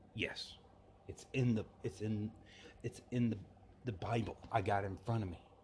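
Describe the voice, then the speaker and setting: A man with an American accent speaks at a moderate pace, his fairly low voice somewhat breathy. His intonation is fairly even, broken by long, frequent pauses. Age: 20s. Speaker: religious podcaster. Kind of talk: religious monologue.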